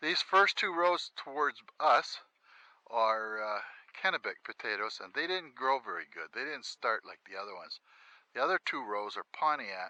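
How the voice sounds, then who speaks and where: A man with a fairly high pitch talks with very wide pitch swings and big swings in loudness. The sound is dry and close, with no echo. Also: moderate pace. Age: 60s. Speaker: homesteader vlogger. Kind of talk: casual walkthrough vlog. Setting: outdoors.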